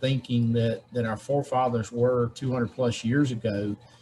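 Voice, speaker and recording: Somewhat breathy and medium in pitch, a man's voice moves at a moderate pace. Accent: Southern US. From Georgia, USA. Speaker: state legislator. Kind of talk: interview answer.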